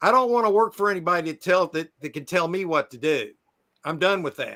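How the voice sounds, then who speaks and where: A man's high-pitched, bright, sharp voice at a fairly quick pace. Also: ordinary pitch variation. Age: 60s. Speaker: storage auction buyer, live streamer. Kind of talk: casual chat. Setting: live stream.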